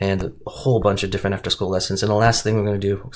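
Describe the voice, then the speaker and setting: On a very clean recording with a silent background, a man speaks at a fairly low pitch in a monotone, flat intonation. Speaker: student presenting a teaching resource. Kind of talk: screen-share tutorial. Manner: fast; hesitant, many fillers and restarts.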